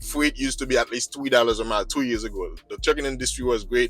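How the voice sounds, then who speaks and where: Over music in the background, a man with a non-native accent talks at a fairly quick pace, his sound dry and close with no echo. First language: not English. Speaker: truck driver and video blogger. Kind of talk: vlog monologue. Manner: agitated; halting.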